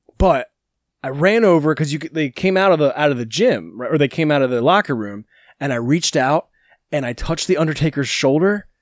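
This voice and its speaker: A man speaks in an ordinary speaking voice with lively intonation at a fairly quick pace. The sound is dry and close with no echo, on a very clean recording with a silent background. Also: fairly high pitch for a man. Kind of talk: casual chat.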